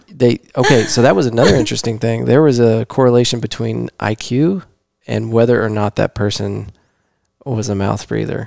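This is a plain, everyday voice at a moderate pace with fairly even intonation, heard as a dry sound with no echo against a quiet background. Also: man, medium pitch for a man. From Texas. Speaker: podcast host. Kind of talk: casual chat. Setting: home living room. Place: studio. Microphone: headset.

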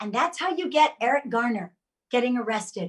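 Very wide pitch swings stand out against a quiet background. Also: woman. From Jamaica. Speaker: actress and political candidate; actress, candidate. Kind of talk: casual political discussion. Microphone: video call.

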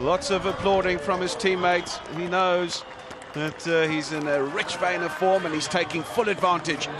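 Amid noticeable background noise, a man with a high pitch speaks at a moderate pace with fairly even intonation. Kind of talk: live cricket commentary. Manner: rising, celebratory tone at milestones.

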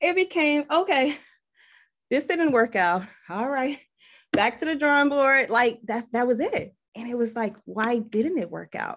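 A woman reads at a fairly slow pace. Her voice is high, with lively intonation. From Kenya, Congolese refugee family. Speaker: fashion publicist and entrepreneur; guest. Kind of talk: casual interview on a video call. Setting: video call. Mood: animated, laughing, expressive. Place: home room. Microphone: video call.

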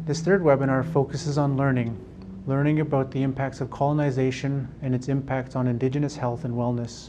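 Someone talks at a fairly quick pace with fairly even intonation over noticeable background noise. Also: man. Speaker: webinar host. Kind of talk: webinar introduction. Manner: formal. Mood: calm, warm. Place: studio.

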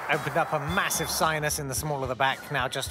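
Noticeable background noise surrounds the speaker. A man talks at a fairly quick pace. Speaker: comedy writer and voice artist. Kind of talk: comedy voiceover commentary on clips. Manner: dry, sardonic.

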